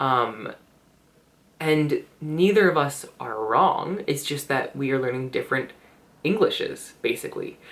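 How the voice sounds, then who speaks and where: Speaking in a Canadian accent, the voice moves at a fairly slow pace. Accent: Canadian, similar to American textbook voices. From Canada. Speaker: English teacher and vlogger. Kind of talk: casual vlog monologue. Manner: hesitant, many fillers.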